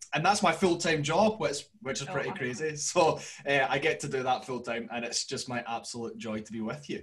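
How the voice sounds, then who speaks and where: A man with a strong Scottish accent, fairly high pitch, lively intonation and hardly any pauses. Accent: broad Scottish. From Glasgow, Scotland. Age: 20s. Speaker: podcast guest. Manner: speaks slowly and clearly.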